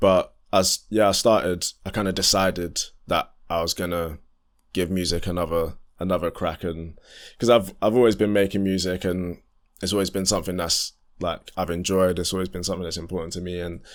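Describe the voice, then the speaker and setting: In a very clean recording with a silent background, a man with a London accent speaks in a very deep, low pitch and a monotone, flat intonation. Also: fairly quick pace. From southeast London. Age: 20s. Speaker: R&B singer and musician. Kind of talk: podcast interview. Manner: casual, hesitant with fillers.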